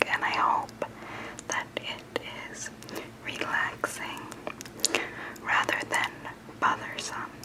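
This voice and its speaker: Amid noticeable background noise, a woman whispers. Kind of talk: ASMR storytime. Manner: whispered.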